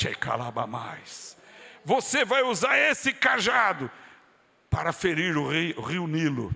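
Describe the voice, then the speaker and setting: Bright and sharp in tone, a man talks at a very slow pace. His pitch swings very widely. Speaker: pastor. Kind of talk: sermon. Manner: fervent, with bursts of speaking in tongues.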